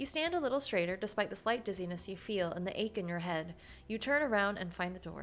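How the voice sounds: The reader's natural voice moves with lively intonation.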